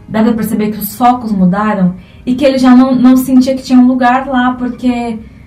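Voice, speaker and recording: A high-pitched woman talks at a moderate pace with fairly even intonation. Noticeable background noise and audible room echo fill the recording. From Brazil, Alta Floresta, Mato Grosso. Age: 20s. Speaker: cultural producer and theatre student. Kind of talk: interview.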